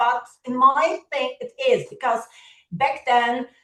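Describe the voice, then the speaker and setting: A woman's high-pitched voice with ordinary pitch variation and a Polish accent, at a very slow pace. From Poland. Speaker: education partnerships officer, keynote speaker. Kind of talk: keynote speech. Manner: halting, many fillers.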